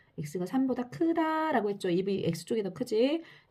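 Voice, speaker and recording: A woman's somewhat breathy voice has a dark, mellow tone and very wide pitch swings. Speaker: math teacher. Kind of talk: lecture. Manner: fast.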